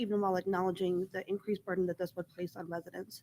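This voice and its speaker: A woman speaks very fast in a shaky, medium-pitched voice with monotone, flat intonation, and the sound is dry and close with no echo. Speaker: school board member. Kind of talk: public meeting statement. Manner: shaky voice.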